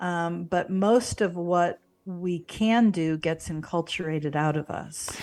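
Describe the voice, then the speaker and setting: A woman with an American accent, very slow in pace, fairly low in pitch, fairly even in intonation. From US Midwest, St. Louis, Missouri. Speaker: spiritual mentor and yoga instructor. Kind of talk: interview conversation.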